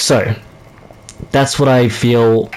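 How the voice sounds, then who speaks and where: A man speaks at a medium pitch against noticeable background noise. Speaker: gaming youtuber. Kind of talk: casual commentary monologue. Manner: stuttering, halting; casual, filler-heavy.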